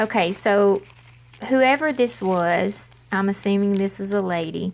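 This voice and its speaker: A woman speaks with an American accent. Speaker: crafting vlogger. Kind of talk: casual haul video.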